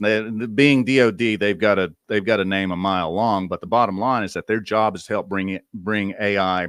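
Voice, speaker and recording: Fairly low in pitch, a man with a Southern US accent is heard on a very clean recording with a silent background. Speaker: AI media commentator, podcast host. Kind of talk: conference presentation. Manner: casual, conversational with fillers.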